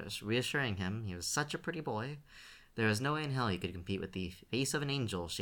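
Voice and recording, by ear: The reading is done aloud in a natural voice, its intonation lively.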